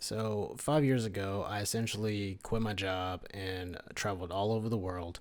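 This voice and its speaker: With an American accent, a man talks at a moderate pace with a fairly low pitch and hardly any pauses. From United States. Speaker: travel vlogger. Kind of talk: monologue. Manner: halting.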